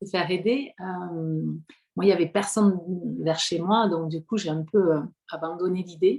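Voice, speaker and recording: In a southern French accent, a woman talks at a fairly slow pace and fairly low pitch with ordinary pitch variation. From southwestern France, Hautes-Pyrénées. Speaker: prenatal singing practitioner. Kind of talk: interview. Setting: home living room. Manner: hesitant, many fillers.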